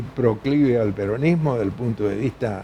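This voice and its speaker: With noticeable background noise behind him, a man speaks at a medium pitch with ordinary pitch variation. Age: 80s+. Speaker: veteran politician and author. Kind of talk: TV news interview. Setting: TV studio.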